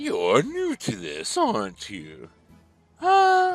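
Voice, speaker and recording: A man performs a put-on character voice at a very slow pace, with faint music in the background. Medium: game stream. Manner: suave, teasing, refined.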